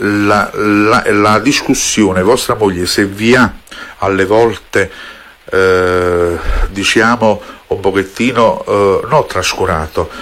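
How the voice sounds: At a slow pace, a man speaks with a fairly bright tone and ordinary pitch variation.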